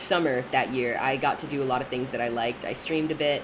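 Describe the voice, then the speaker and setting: A woman speaks amid noticeable background noise and audible room echo. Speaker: streamer, college theater student. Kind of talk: casual livestream chat while gaming. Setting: livestream at desk. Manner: hesitant, many fillers and restarts.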